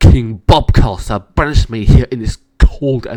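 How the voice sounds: The background is quiet while a natural reading voice is heard.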